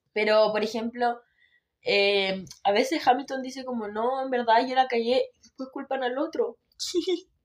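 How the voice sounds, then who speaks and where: Speaking with a Chilean accent, a woman uses a high voice with ordinary pitch variation. She talks at a fairly slow pace, with big swings in loudness. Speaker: Formula 1 podcast co-host. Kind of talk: casual chat. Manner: quiet.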